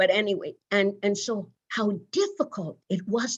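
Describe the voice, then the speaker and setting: A woman with a Virgin Islands accent speaks at a fairly slow pace, sounding somewhat breathy. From US Virgin Islands. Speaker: nursing leader and pioneer. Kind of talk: interview conversation. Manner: conversational, with many fillers.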